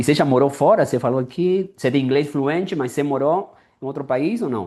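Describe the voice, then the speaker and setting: With a dark, mellow tone and lively intonation, a man speaks at a fairly quick pace over a quiet background. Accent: non-native. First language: Spanish (speaking Portuguese). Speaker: interviewer, language content creator. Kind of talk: interview. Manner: casual, repetitive.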